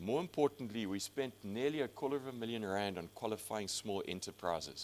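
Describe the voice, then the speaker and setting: Lively in intonation, a man talks at a fairly quick pace with a medium pitch. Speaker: industry executive presenting to college. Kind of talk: conference presentation with slides. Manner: fast.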